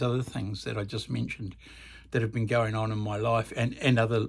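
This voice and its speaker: Speaking in a New Zealand accent, a man comes through on a very clean recording with a silent background. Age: 70s. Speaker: music channel host. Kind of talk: casual vlog monologue. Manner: halting, many fillers.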